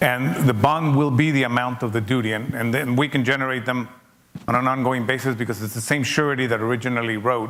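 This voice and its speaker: A man at a very fast pace, with fairly even intonation and a non-native accent, amid noticeable background noise and audible room echo. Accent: noticeable foreign. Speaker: logistics executive speaking at a seminar. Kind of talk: seminar Q&A talk. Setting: conference seminar with audience.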